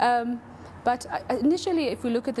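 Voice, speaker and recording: A woman speaks softly. Her pace is fairly quick. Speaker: panelist. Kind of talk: panel discussion. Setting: studio with audience. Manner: soft-spoken.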